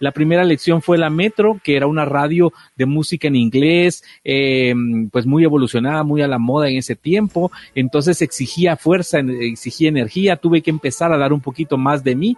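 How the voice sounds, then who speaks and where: A man talks at a moderate pace. His pitch rises and falls in an ordinary way. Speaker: radio host. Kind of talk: casual chat. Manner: energetic, forceful.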